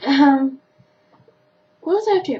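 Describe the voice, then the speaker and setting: With an Australian accent, a woman talks at a high pitch. Her intonation is lively. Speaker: vlogger. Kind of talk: casual chat. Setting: webcam recording at home.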